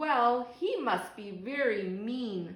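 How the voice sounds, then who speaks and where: A woman puts on a growling character voice at a fairly high pitch. There is a slight echo. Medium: read story.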